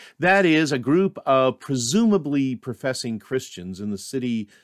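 Pitched in the medium range, a man's voice swings very widely up and down, recorded dry and close with no echo. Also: very clean recording, silent background. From Maine, New England. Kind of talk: scripted devotional reflection. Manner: measured, formal.

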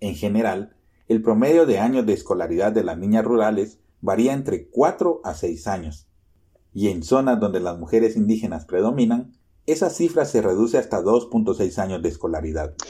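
A man's voice has a dark, mellow tone and a fairly low pitch. His intonation is lively. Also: moderate pace. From Guatemala. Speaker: journalist. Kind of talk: scripted narration.

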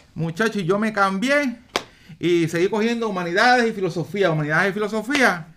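A high-pitched man speaks fairly quickly, his pitch varying in an ordinary way, with noticeable background noise around him. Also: very even loudness. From Puerto Rico, San Juan. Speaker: retired police officer and politician. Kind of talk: casual interview.

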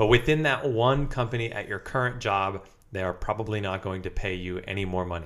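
A man with a plain, everyday voice speaks at a fairly quick pace in a fairly low pitch with ordinary pitch variation, on a very clean recording with a silent background. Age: 20s. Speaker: podcast host and physical therapist. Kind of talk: casual chat.

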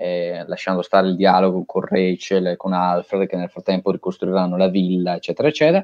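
Very deep and low, a man's voice runs at a fairly quick pace with hardly any pauses and fairly even intonation. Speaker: podcast co-host discussing films. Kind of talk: casual chat about films.

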